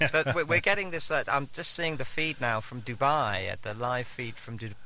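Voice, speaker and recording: With a British accent, a man talks at a moderate pace in a bright, sharp tone. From Britain. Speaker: astronomer. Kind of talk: live webcast commentary.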